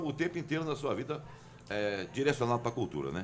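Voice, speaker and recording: Vocal fry runs through this voice as its pitch swings very widely. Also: man. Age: 60s. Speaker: radio host. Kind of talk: casual radio interview chat.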